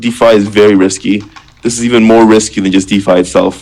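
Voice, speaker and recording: Over noticeable background noise, a man talks at a very fast pace in a fairly low pitch with monotone, flat intonation. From Canada, Ontario. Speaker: crypto project founder. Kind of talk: live Q&A stream. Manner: casual, filler-heavy.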